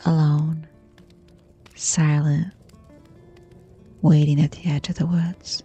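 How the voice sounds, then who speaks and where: Music plays in the background as a woman speaks. She is soft-spoken and very slow. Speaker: horror story narrator. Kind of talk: sleep story.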